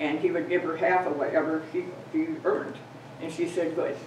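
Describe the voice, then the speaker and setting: Someone with an American accent talks over noticeable background noise, with audible room echo. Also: woman. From US Midwest, Wisconsin. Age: 90s. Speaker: local resident speaker. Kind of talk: talk to a local society. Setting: museum meeting with audience. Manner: rambling, halting.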